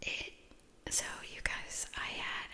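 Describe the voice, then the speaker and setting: A woman whispers at a very slow pace. Noticeable background noise is present. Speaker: ASMR creator. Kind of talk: ASMR soft-spoken rambling. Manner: casual chatty storytelling.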